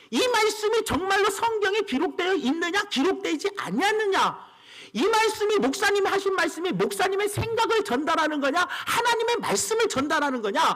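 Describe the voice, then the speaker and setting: In a room with audible echo, a man speaks at a moderate pace in an extremely high pitch, his tone bright and sharp, his loudness very even and his pitch variation ordinary. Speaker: pastor. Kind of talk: sermon. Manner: brisk, clear delivery.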